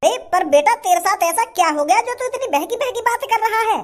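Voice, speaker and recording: The voice is a cartoonish character voice at an extremely high pitch. It moves at a very fast pace. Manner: flustered.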